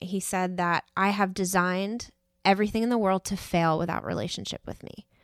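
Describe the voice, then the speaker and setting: Speaking in an unremarkable speaking voice with an American accent, a woman keeps a medium pitch, ordinary pitch variation and a moderate pace on a very clean recording with a silent background and a dry, close sound with no echo. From New York. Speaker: worship team member and photographer leading a church workshop. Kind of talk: interview.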